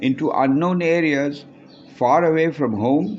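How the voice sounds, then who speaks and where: Over noticeable background noise, a man speaks at a high pitch and a fairly slow pace. His intonation is lively. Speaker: author. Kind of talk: reading aloud.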